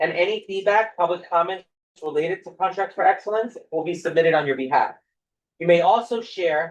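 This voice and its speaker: The delivery moves at a fairly quick pace. Its intonation stays fairly even. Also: man. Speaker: school district funding presenter. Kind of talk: formal presentation at public meeting. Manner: fast.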